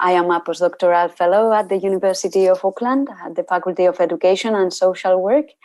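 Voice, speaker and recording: In a Spanish accent, a woman with a dark, mellow tone and medium pitch talks at a moderate pace. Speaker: university researcher. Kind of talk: lecture. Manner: halting.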